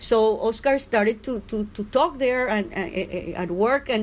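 A woman with a Spanish accent talks at a fairly high pitch on a very clean recording with a silent background. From Cuba. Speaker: dissident journalist. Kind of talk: interview. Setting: at home. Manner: halting.

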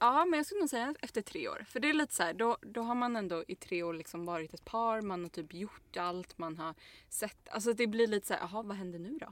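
A woman with a fairly high pitch speaks at a fairly quick pace with hardly any pauses. Her pitch swings very widely, and the recording is very clean with a silent background. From Stockholm, Sweden. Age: 20s. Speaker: podcast co-host. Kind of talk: casual chat.

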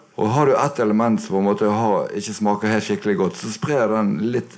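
A man in a Bergen accent at a fairly low pitch, with ordinary pitch variation and a fairly quick pace. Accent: Bergen Norwegian. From Bergen, Norway. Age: 60s. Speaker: guitarist and producer. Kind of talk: live interview. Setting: record shop with live audience. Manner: soft-spoken.

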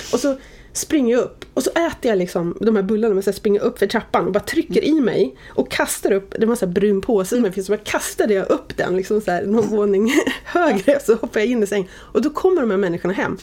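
Amid noticeable background noise, a woman with a fairly high pitch speaks at a very fast pace with lively intonation. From Sweden, Oxelösund. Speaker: media executive. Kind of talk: interview.

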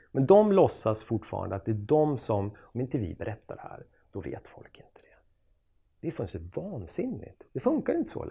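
With vocal fry and a dark, mellow tone, the voice moves at a moderate pace through very wide pitch swings and big swings in loudness. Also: man. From Sweden, Jämtland (Östersund). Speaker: journalist and author. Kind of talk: casual interview chat.

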